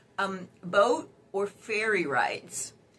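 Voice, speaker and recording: A woman talks at a medium pitch. Noticeable background noise is present. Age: 60s. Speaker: dating advice youtuber. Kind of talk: casual advice vlog. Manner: chatty, many fillers.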